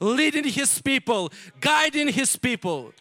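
A man's raised, projected voice comes across bright and sharp at a fairly slow pace, the sound dry and close with no echo. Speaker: missionary pastor. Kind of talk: sermon. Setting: church.

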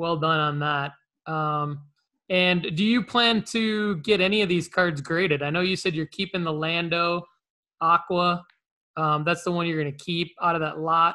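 With a high pitch and fairly even intonation, a man talks at a moderate pace. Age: 40s. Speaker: podcast host. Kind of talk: casual chat.

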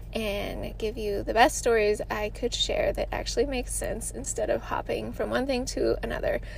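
Audible room echo surrounds the speaker. A woman talks at a moderate pace. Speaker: wellness podcast host and military veteran. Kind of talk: casual solo monologue. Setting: in a parked car.

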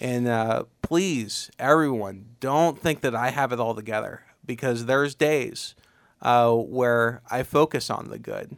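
Speaking with an Ohio accent, a man talks fairly slowly at a medium pitch with ordinary pitch variation, in a very clean recording with a silent background. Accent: Midwestern American (Ohio). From Ohio, Tuscarawas County. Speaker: community volunteer organizer and military veteran. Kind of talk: interview conversation. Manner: hesitant, frequent 'uh' fillers.

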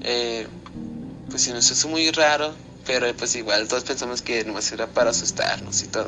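Music plays in the background as a man talks at a fairly quick pace. His pitch is medium, with ordinary variation. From Zacatecas, Mexico. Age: young. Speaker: listener sending a story. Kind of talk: recorded personal story.

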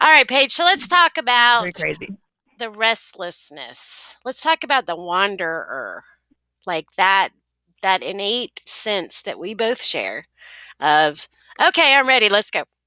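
Very slowly and with long, frequent pauses, a woman with a fairly high voice and a Southern accent speaks in a bright, sharp tone with very wide pitch swings, recorded dry and close with no echo. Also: very clean recording, silent background. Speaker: podcast host.

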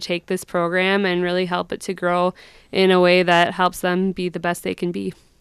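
A woman talks with an Upper Midwest accent. The recording is very clean, with a silent background. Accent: Upper Midwest (Minnesota). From southern Minnesota (Brown County). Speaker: youth program educator. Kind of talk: radio interview. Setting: radio studio.

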